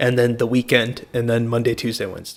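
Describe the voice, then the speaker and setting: A man at medium pitch, speaking at a fairly quick pace. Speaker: college student and amateur comedian. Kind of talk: casual chat. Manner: loud.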